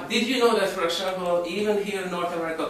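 Light background noise and audible room echo accompany a man with a high pitch and ordinary pitch variation. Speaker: hypnotherapist and network marketing presenter. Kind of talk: sales presentation. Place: home room. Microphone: camera far.

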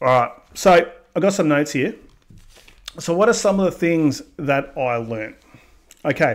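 A man with an Australian accent, high-pitched and lively in intonation, at a moderate pace with long, frequent pauses. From Australia, Melbourne, Victoria. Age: 30s. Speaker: YouTube vlogger. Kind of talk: casual monologue vlog. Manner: conversational, with fillers. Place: home room. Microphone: studio mic.

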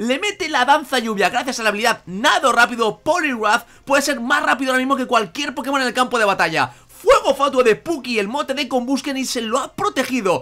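This man's raised, projected voice sits at an extremely high pitch, with a bright, sharp tone, lively intonation, a fairly quick pace and hardly any pauses. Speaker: gaming YouTuber. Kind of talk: live commentary of a Pokémon battle, play-by-play like a sports announcer. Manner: enthusiastic, friendly.

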